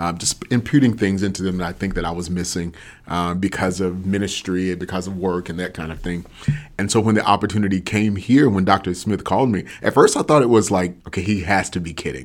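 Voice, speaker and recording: Speaking fairly quickly with an American accent, a man with a very deep, low pitch shows ordinary pitch variation and big swings in loudness. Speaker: school dean and guidance counselor. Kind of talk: interview conversation.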